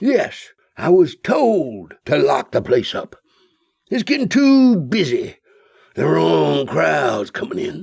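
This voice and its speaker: A man puts on a character voice, high-pitched and raspy. He speaks at a fairly slow pace. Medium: read story. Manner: rambling, offbeat.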